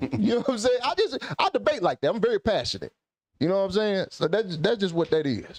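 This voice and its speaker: Very fast and lively in intonation, a man speaks at a high pitch. His loudness stays very even. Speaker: podcast host. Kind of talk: casual chat. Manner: sounds aggressive, passionate.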